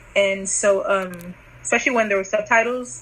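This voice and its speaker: At a moderate pace, a woman with a medium pitch talks in fairly even intonation against noticeable background noise. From Nigeria. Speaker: interviewee for a student project. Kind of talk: casual interview. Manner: hesitant, many fillers.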